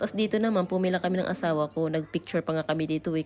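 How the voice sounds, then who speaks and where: A woman with fairly low pitch talks at a very fast pace, her pitch varying in an ordinary way. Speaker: travel vlogger. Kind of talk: vlog narration. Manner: casual.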